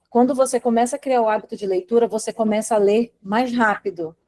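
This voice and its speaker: Recorded dry and close with no echo, a woman with a dark, mellow tone and fairly high pitch talks at a moderate pace with ordinary pitch variation. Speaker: study coach. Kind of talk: live online class. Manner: animated.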